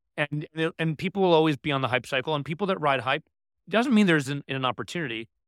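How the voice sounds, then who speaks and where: A man with an American accent, fairly high pitch, ordinary pitch variation and a very fast pace. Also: dry, close sound with no echo, very clean recording, silent background. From New York City. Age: 30s. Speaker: entrepreneur and investor. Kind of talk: casual interview.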